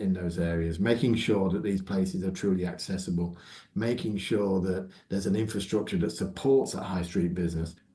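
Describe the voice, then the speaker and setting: A somewhat breathy voice with a dark, mellow tone speaks at a fairly quick pace, using fairly even intonation, with audible room echo. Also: man. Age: 60s. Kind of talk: interview.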